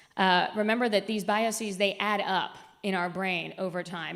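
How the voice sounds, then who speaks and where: Audible room echo surrounds a woman's medium-pitched voice as she talks at a moderate pace with fairly even intonation. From US South, raised outside Atlanta, Georgia. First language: Spanish. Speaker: media executive and diversity speaker. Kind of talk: conference presentation. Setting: stage with audience.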